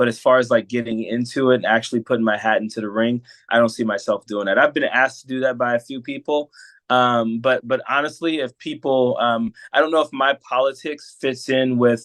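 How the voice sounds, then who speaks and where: A man's medium-pitched voice, fairly quick and fairly even in intonation. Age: 40s. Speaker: coach and political commentator. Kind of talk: casual interview chat. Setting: podcast. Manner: clear and to the point.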